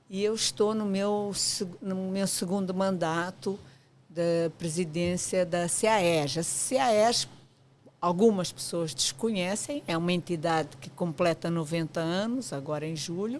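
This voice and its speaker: Very slowly paced, the delivery has ordinary pitch variation. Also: woman, fairly low pitch for a woman. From Portugal. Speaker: architect, professional association president. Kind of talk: podcast interview. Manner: hesitant fillers, frequent 'portanto'.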